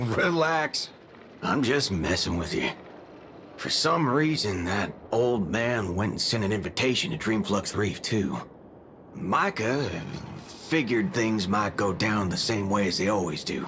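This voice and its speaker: In a put-on character voice, a man drawls at a moderate pace and medium pitch against clear background noise. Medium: video game. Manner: drawling, folksy, minced curses.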